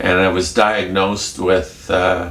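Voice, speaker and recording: A man speaks at a very slow pace with a very deep, low pitch. Room echo is audible. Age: 70s. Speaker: vlogger with schizophrenia. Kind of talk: casual vlog. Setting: home kitchen. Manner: halting.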